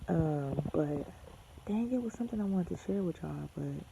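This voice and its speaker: A woman talks at a fairly quick pace. Her voice is soft-spoken. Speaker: vlogger and aspiring model. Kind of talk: casual vlog. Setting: at home next to a sleeping baby. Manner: soft-spoken, talking low.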